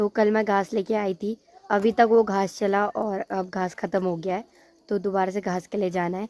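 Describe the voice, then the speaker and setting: Her voice has a dark, mellow tone at a medium pitch, and the woman speaks at a moderate pace. Her intonation is monotone and flat, and the sound is dry and close with no echo. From Uttarakhand hills, India. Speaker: village lifestyle vlogger. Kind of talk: casual vlog talk. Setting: outdoors in village, after rain.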